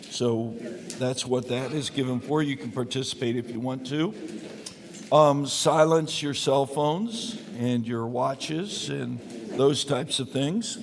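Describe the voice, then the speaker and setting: Against noticeable background noise, a man at medium pitch speaks at a fairly slow pace with ordinary pitch variation. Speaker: pastor. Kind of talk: Bible study teaching. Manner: not projecting, normal conversational volume; casual with many fillers.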